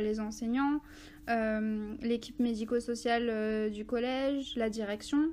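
A plain, everyday voice from a woman, fairly high in pitch, with fairly even intonation. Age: 20s. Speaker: school education counselor. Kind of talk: casual interview. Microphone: crackling and interference at times.

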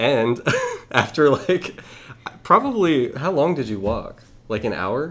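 A man with an American accent, very slow, with long, frequent pauses and noticeable background noise. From Texas. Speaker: undergraduate student. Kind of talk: casual chat.

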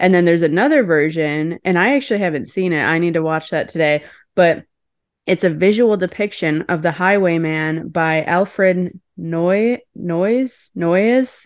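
At a fairly slow pace, a woman talks in a plain, everyday voice, fairly low in pitch, with ordinary pitch variation and a quiet background. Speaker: podcast co-host, magazine editor. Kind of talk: casual chat.

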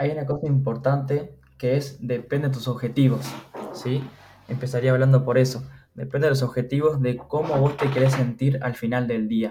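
A man with a Uruguayan accent and monotone, flat intonation. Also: medium pitch for a man, moderate pace. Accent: Rioplatense Spanish (Uruguayan). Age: 20s. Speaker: funded trader. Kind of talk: casual interview.

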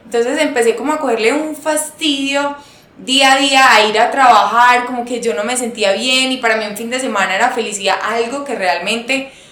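In a room with audible echo and noticeable background noise, a woman speaks high-pitched at a moderate pace. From Colombia, Antioquia (paisa). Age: 20s. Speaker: fashion entrepreneur. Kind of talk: interview.

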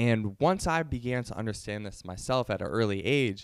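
Recorded very cleanly against a silent background, a man with an ordinary speaking voice talks at a moderate pace, fairly low in pitch with ordinary pitch variation. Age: 20s. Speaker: YouTuber and entrepreneur. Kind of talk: casual monologue to camera.

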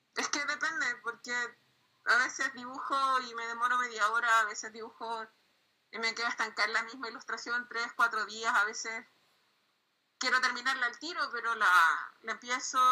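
A woman speaks at a moderate pace in a Chilean accent, her high voice following fairly even intonation. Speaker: comic artist. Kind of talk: interview.

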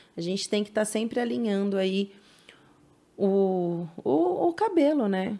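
A woman speaks with lively intonation at a medium pitch. Her tone is dark and mellow. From São Paulo, East Zone (Penha). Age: 30s. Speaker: hairdresser. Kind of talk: casual interview chat.

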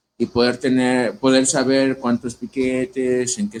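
A man speaks in an ordinary speaking voice at medium pitch and a fairly slow pace. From Ecatepec, State of Mexico. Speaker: tattoo artist. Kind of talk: casual interview. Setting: livestream in host's home.

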